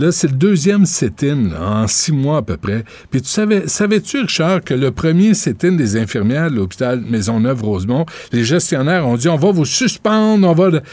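This man talks at a fairly high pitch, his voice swinging very widely up and down. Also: moderate pace. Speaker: radio talk show host. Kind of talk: radio talk show interviews and chat. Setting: radio studio. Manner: animated.

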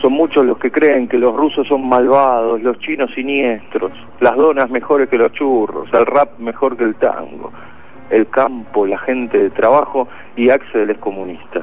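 A man talks at a fairly slow pace, his pitch medium with ordinary variation. Noticeable background noise sits behind him. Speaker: radio host. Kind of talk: casual chat; scripted narration.

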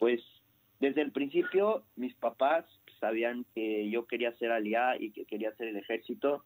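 A man with a Mexican accent talks at a fairly slow pace and a medium pitch, with ordinary pitch variation. The sound is dry and close, with no echo. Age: 20s. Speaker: immigrant about to join the army. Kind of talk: radio interview.

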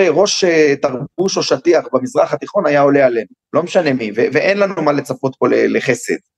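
The sound is dry and close with no echo as a man talks at a moderate pace. His pitch is fairly high and swings very widely. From Jerusalem, Israel. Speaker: security expert and educator. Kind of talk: interview. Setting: video call.

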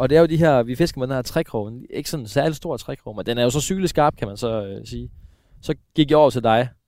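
A man talks at a very fast pace at a medium pitch, with ordinary pitch variation and big swings in loudness. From eastern Denmark. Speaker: radio host and angler. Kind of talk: casual chat. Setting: outdoors.

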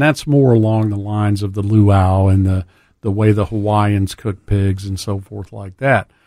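Using a South Louisiana accent, a man with a fairly low pitch and a dark, mellow tone talks at a moderate pace with fairly even intonation. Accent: South Louisiana Southern US. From US South, South Louisiana. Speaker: dive shop owner. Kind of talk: casual chat. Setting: studio.

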